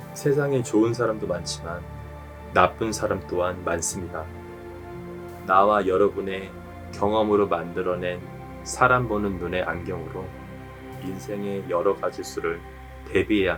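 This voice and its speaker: With music in the background, a man with a very deep, low voice speaks in a calm, soothing tone at a fairly slow pace, his intonation lively and his pauses long and frequent. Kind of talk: sleep-aid reading.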